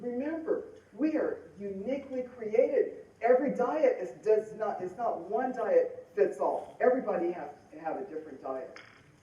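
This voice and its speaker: At a fairly slow pace, a woman talks with an American accent amid audible room echo. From Denver, Colorado. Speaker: motivational speaker and author. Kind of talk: conference talk.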